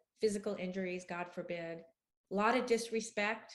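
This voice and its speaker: At a moderate pace, a woman speaks at medium pitch with fairly even intonation in an unremarkable speaking voice. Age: 60s. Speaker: author and love addiction expert. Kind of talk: interview.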